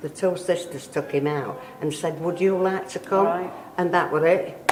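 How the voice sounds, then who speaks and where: A woman with a fairly low voice talks at a moderate pace, her intonation fairly even, while noticeable background noise sits behind her. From Yorkshire, England. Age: 80s+. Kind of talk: interview answer.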